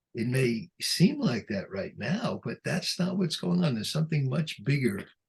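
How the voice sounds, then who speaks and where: A man's pitch swings very widely as he talks fairly slowly in a somewhat breathy voice. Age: 80s+. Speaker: psychotherapist and author. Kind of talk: interview. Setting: video call.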